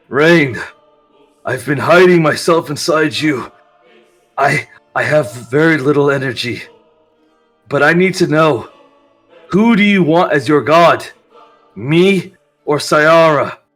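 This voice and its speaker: Faint music plays in the background as a man does a put-on character voice at a fairly high pitch for a man. He goes at a fairly slow pace with long, frequent pauses. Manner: pleading.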